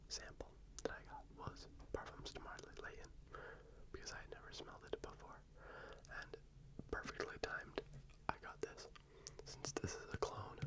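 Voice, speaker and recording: A man whispers at a moderate pace with long, frequent pauses against noticeable background noise. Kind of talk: ASMR fragrance talk, casual to camera. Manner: whispered, soft-spoken.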